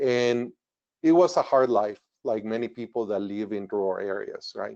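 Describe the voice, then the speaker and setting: A man speaks in a Spanish accent with ordinary pitch variation. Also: medium pitch for a man, moderate pace. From northern Mexico border town. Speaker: retired engineer. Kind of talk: webinar presentation. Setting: webinar.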